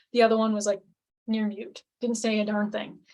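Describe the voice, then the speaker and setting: Fairly high, somewhat breathy female voice. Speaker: relationship coach. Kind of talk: webinar presentation. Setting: live webinar with screen share.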